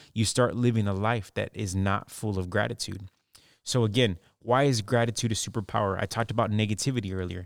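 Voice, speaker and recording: The voice has an upbeat tone and moves at a fairly quick pace. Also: man, very clean recording, silent background. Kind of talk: motivational pep talk. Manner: earnest, upbeat, direct, encouraging; conversational, emphatic, persuasive.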